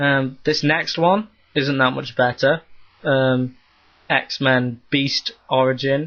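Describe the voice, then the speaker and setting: At a very slow pace, a man speaks with a fairly high pitch and fairly even intonation. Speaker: comic book reviewer. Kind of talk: video review. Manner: hesitant, many ums.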